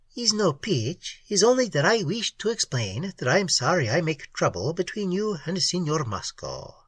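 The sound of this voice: In a put-on character voice, a man speaks at a moderate pace with big pitch swings, a fairly bright tone, a slightly husky edge and fairly high pitch for a man.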